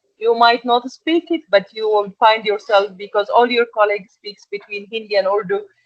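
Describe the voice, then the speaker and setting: A woman with an Egyptian accent speaks at a moderate pace with a fairly high pitch. Her pitch varies in an ordinary way, and she hardly pauses. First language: Arabic. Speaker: export and packaging manager. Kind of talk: interview. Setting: podcast.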